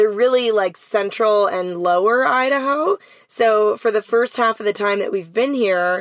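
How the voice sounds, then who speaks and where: Her voice is a normal speaking voice, and this woman talks at a moderate pace with ordinary pitch variation. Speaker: van life podcast co-host. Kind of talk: casual interview chat. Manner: playful, chatty.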